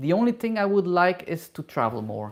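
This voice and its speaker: A woman with a non-native accent, very deep and low for a woman, vocal fry, very wide pitch swings, a fairly slow pace. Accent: noticeable non-native English. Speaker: hairdresser and travel YouTuber. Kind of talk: live Q&A. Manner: halting, many fillers.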